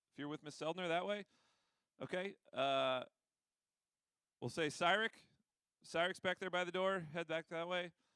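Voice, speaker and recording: Loud and bright, with a sharp tone, a man speaks at a high pitch and a moderate pace with fairly even intonation and long, frequent pauses, in a dry, close sound with no echo. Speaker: school administrator. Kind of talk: announcements to students.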